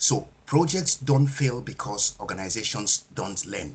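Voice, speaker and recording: A somewhat breathy man at a medium pitch, at a very slow pace with lively intonation. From Nigeria. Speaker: project management speaker. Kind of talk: webinar presentation.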